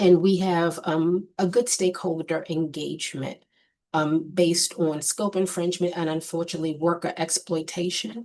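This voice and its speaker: With a fairly low pitch, a woman speaks at a moderate pace in an unremarkable speaking voice. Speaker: state board executive presenting to commission. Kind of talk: formal report to committee. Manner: many filler ums.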